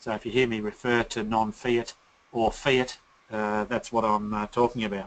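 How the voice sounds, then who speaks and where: A man's medium-pitched voice with fairly even intonation and an Australian accent. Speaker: company founder and CEO, presenter. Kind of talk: webinar presentation. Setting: online webinar. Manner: hesitant, many filler words.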